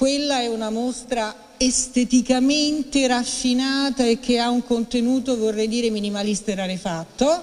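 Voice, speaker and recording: Intonation stays fairly even as the speech moves at a moderate pace. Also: woman, high pitch for a woman. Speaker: retired heritage superintendent. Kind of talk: formal speech. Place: hall. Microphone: podium.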